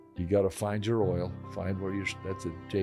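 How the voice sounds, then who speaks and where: A man with an American accent speaks in a very deep, low pitch while music plays in the background. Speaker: businessman. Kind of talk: interview answer. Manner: casual, halting, repeats words.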